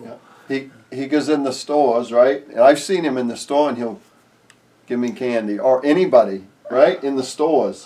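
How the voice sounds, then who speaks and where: Loudness swings widely against noticeable background noise. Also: man, fairly high pitch for a man, ordinary pitch variation, moderate pace. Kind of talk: casual interview questions.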